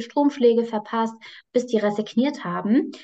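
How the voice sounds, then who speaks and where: This is a normal speaking voice. It moves along at a medium rate. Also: woman. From Hesse, Germany (near Frankfurt am Main). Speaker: psychologist and dog trainer. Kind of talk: casual interview. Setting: video call.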